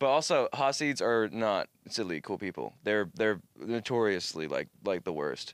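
A man with a plain, everyday voice speaks fairly slowly, his pitch fairly low and his intonation lively. The recording is very clean, with a silent background and a dry, close sound with no echo. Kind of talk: casual chat. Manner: joking, rambling.

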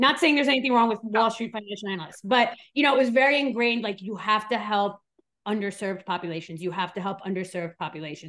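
Talking at a very fast pace, a woman with an American accent uses lively intonation and a fairly high pitch. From New York. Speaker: forensic psychologist. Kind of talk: interview conversation.

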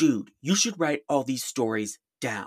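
At a moderate pace, a man in a medium pitch performs a put-on character voice.

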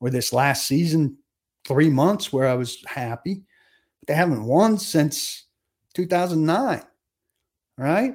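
A man with an unremarkable speaking voice talks at a moderate pace with ordinary pitch variation, in a very clean recording with a silent background. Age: 50s. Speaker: sports podcast host. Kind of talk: solo podcast commentary.

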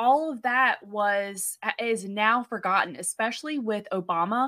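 Speaking with an American accent, a woman has a fairly high, bright, sharp voice and ordinary pitch variation. She talks at a fairly slow pace on a very clean recording with a silent background. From United States. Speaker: podcast co-host. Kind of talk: casual chat.

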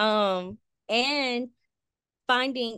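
The speaker has an American accent and ordinary pitch variation. The sound is dry and close with no echo, over a quiet background. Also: woman. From Compton, Los Angeles, California. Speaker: public health worker, nonprofit co-founder. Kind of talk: casual interview. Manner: animated.

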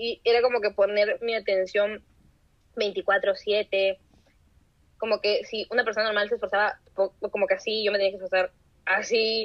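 Monotone, flat intonation broken by long, frequent pauses. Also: woman, fairly high pitch for a woman, fairly slow pace. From Trujillo, northern Peru. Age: 20s. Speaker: university student. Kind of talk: casual interview. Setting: video call.

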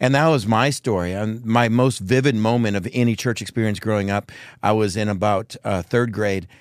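In a very clean recording with a silent background, a man with an American accent uses a plain, everyday voice, fairly low in pitch, at a moderate pace with fairly even intonation. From Texas. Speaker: megachurch pastor. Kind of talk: casual interview chat.

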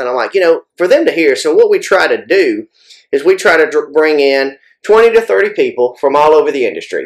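A man talks at a fairly quick pace. He has a Southern US accent. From US South. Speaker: firearms industry manufacturer and match director. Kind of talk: casual interview.

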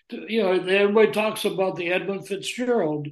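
Here a man talks at a high pitch. Audible room echo surrounds his voice. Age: old. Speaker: journalist and author. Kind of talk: interview.

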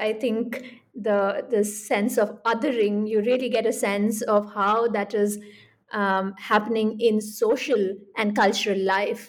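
A woman with an ordinary speaking voice talks at a fairly high pitch, her intonation fairly even. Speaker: podcast host and professor. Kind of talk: interview.

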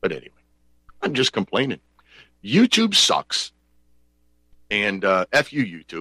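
A man speaks at a moderate pace in an animated tone, with long, frequent pauses and a dry, close sound that has no echo. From Pennsylvania. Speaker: talk radio host. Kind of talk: call-in talk show. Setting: home studio.

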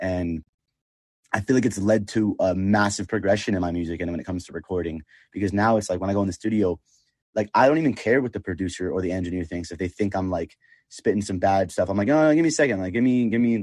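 Very fast speech with ordinary pitch variation, dry and close with no echo, over a quiet background. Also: man, fairly low pitch for a man. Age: 20s. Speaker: singer-songwriter. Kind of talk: casual interview chat.

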